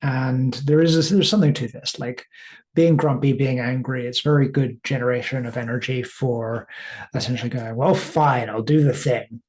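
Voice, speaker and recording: Somewhat breathy and medium in pitch, a man's voice moves with fairly even intonation. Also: moderate pace. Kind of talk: casual talk to camera. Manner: rambling, hesitant.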